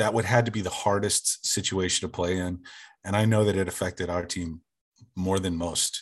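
Over a quiet background, a man with a very deep, low pitch speaks at a moderate pace. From small-town Oklahoma. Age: 40s. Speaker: sports fan. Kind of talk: casual chat.

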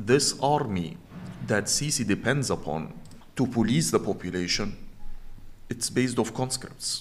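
A man speaks with an Arabic accent. His pace is moderate. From Egypt, Cairo. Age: 40s. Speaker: journalist and activist. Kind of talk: interview.

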